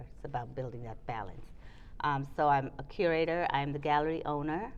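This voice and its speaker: Intonation stays fairly even, with audible room echo around the voice. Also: woman. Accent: American. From Trinidad and New York. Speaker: curator and gallery owner. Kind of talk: casual chat. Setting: arts building.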